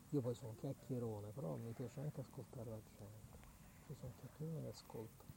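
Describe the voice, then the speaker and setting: A man talks at a very fast pace. His pitch is medium and varies in an ordinary way. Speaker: community radio host. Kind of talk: casual live radio chat; guided vocal exercise. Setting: outdoors at night by a lake. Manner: talkative.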